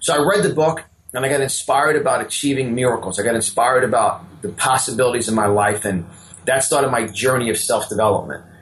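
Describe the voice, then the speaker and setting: A man with a strong New York accent talks at a fairly quick pace with ordinary pitch variation. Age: 50s. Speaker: motivational speaker and business coach. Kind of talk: interview. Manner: repetitive false starts.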